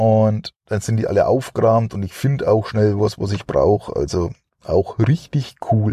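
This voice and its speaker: A man speaks at a fairly slow pace, at a medium pitch with ordinary pitch variation. His somewhat breathy voice has a dark, mellow tone, and the sound is dry and close with no echo. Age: 40s. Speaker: podcast host. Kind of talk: casual monologue. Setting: in a car. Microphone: cheap microphone.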